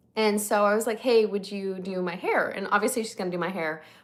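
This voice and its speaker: Animated and fairly quick, a woman with an American accent talks at a fairly high pitch. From Northern California. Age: 20s. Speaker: lifestyle content creator. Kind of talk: casual livestream chat. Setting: livestream.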